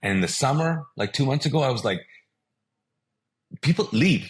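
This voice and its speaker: A man speaks at a fairly high pitch and a fairly quick pace, his voice somewhat breathy. His pitch swings very widely. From Kuwait, Pakistani family. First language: Urdu. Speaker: pastor. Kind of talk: testimony.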